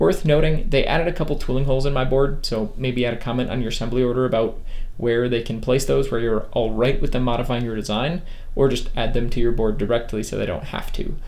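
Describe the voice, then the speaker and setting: A man's medium-pitched voice at a very fast pace, with ordinary pitch variation and audible room echo. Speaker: electronics engineer YouTuber. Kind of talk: product review; tutorial. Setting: electronics lab.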